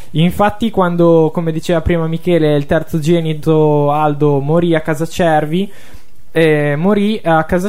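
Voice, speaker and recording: With noticeable noise behind him, a fairly high-pitched man keeps his intonation fairly even at a moderate speed. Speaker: radio host, music presenter. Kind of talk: radio talk show, conversational. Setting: radio studio.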